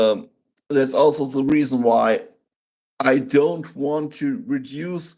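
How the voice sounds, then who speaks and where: With a German accent, a man speaks in a fairly high pitch, his tone dark and mellow and his intonation lively. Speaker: channel host, interviewer. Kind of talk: interview. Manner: halting.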